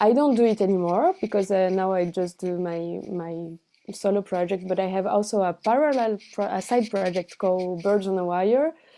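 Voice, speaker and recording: In a Portuguese accent, a dark, mellow voice moves at a moderate pace with ordinary pitch variation, captured in a very clean recording over a silent background. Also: woman. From Brazil, with childhood in France and teens in Buenos Aires. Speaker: cellist and singer. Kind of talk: interview. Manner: halting, many fillers and restarts.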